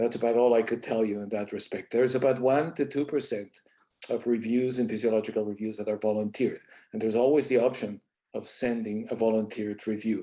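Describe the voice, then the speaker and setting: Talking at a very fast pace, a man uses fairly even intonation and a dark, mellow tone. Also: medium pitch for a man, very clean recording, silent background. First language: Spanish. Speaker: associate journal editor, scientist. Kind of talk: panel presentation.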